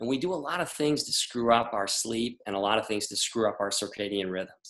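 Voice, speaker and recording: Speaking at a medium pitch, a man has a slight Boston accent. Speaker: doctor. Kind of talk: interview. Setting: podcast interview.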